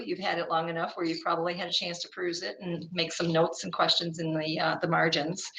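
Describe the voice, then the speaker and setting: A woman with a fairly low pitch speaks at a fairly quick pace, with audible room echo and noticeable background noise. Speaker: workshop presenter, school board consultant. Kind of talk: workshop presentation. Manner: fast.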